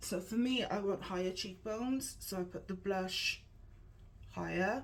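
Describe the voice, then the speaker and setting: A woman speaks at a fairly slow pace in an English accent, her medium pitch showing ordinary pitch variation. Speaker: makeup tutorial youtuber. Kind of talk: tutorial. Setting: at home with painters in the room. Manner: whispering; casual, hesitant with fillers.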